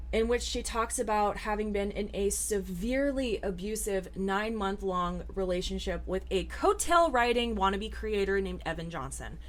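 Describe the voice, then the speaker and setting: A woman's moderately paced speech carries audible room echo. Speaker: commentary youtuber. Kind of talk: casual commentary monologue. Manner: animated.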